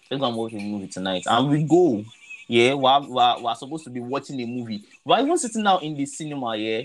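At a very fast pace, a man speaks with a Nigerian accent. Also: medium pitch for a man, ordinary pitch variation. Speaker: podcast host. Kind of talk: casual chat.

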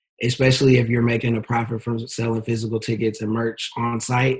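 A man with an American accent speaks at a moderate pace in a medium pitch. His intonation is monotone and flat, and his voice is somewhat breathy. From Texas, Dallas. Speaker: event promoter and marketer. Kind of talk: casual interview chat.

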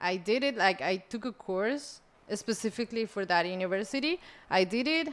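In a very clean recording with a silent background, a woman speaks with a Spanish accent. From Colombia. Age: 20s. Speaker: podcast guest. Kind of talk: casual chat.

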